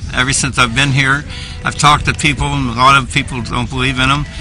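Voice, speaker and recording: With music in the background and audible room echo, the voice holds a monotone, flat intonation. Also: man. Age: 70s. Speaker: resident giving public statement. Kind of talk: testimony.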